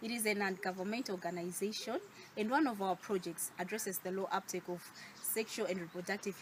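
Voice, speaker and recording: With a Malawian accent, a woman speaks at a fairly quick pace in a medium pitch with ordinary pitch variation. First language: Chichewa. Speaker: youth advocate, NGO worker. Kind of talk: short advocacy speech to camera.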